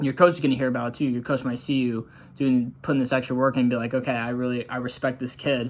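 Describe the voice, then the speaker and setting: Speaking in a monotone, flat intonation, a man with an American accent keeps to a medium pitch. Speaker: college soccer player and coach-style vlogger. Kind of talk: motivational tutorial. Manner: casual, conversational.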